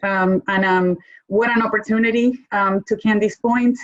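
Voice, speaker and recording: A woman's fairly high voice with a Spanish accent, moderate pace and fairly even intonation. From Argentina. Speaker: corporate lawyer. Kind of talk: panel discussion.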